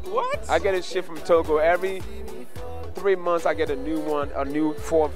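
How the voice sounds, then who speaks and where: The voice moves at a moderate pace with a dry sound and no echo. Clear music plays in the background. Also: man. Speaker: comedian award nominee. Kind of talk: interview answer. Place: hall. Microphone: handheld.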